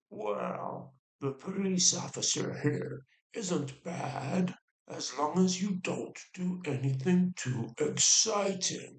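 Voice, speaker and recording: In a put-on character voice, a man talks very slowly at a high pitch with a gravelly sound. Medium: read story. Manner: gruff but friendly.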